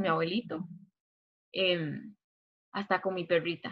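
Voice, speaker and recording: A woman speaks at a moderate pace. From Costa Rica, Turrialba (Cartago). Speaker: university student. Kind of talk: casual chat.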